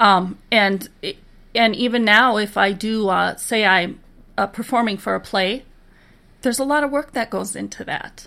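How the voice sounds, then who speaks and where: Fairly high-pitched woman's voice with an American accent, bright and sharp in tone with vocal fry, at a moderate pace with ordinary pitch variation, on a very clean recording with a silent background. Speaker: musician and sign language interpreter. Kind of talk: casual interview chat.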